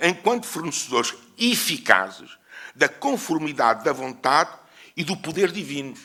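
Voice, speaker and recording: The speaker has a European Portuguese accent and a bright, sharp tone with vocal fry. The pitch swings very widely. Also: man. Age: 70s. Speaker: historian. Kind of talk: conference lecture. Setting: conference with audience. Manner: hesitant, with fillers.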